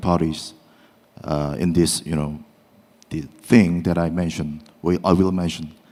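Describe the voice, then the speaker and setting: With a Korean accent, a man talks at a moderate pace in a very deep, low pitch. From South Korea. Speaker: law professor, panel discussant. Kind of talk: academic panel discussion. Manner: halting, many fillers.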